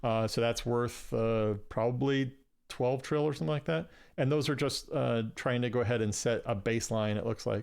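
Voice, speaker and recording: Very even loudness and ordinary pitch variation against a quiet background. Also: man, medium pitch for a man. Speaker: gaming streamer teaching trading. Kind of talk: live gameplay tutorial. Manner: fast; casual with many fillers.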